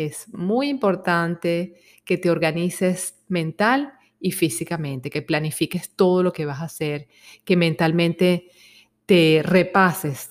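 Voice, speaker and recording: On a very clean recording with a silent background, a woman speaks at a very slow pace, her fairly low pitch showing ordinary variation. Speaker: psychologist. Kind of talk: self-help talk.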